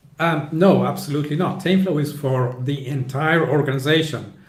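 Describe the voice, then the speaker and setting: A man at a moderate pace with fairly even intonation, amid audible room echo and noticeable background noise. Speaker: author and flow-management consultant. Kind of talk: interview.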